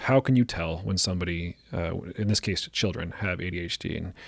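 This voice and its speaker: A man speaks in a calm tone with ordinary pitch variation, heard in a very clean recording with a silent background and a dry, close sound with no echo. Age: middle-aged. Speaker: psychologist and podcast host. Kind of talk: casual chat.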